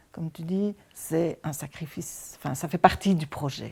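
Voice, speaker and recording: In a very clean recording with a silent background, a woman talks very slowly at a fairly low pitch. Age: 60s. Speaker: emergency foster carer. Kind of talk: testimony. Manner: halting.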